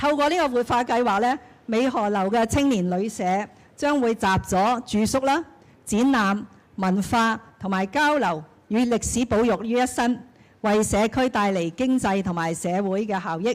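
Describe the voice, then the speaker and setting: A woman with a plain, everyday voice speaks at a fairly high pitch with ordinary pitch variation, in a very clean recording with a silent background. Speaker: senior government official. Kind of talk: ceremony speech.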